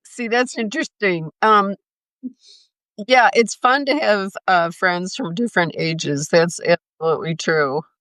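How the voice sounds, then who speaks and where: A woman with an ordinary speaking voice talks at a medium pitch with lively intonation in an American accent, recorded dry and close with no echo on a very clean recording with a silent background. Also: fairly slow pace. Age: 60s. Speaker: interviewer, travel creator. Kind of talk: interview. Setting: live stream.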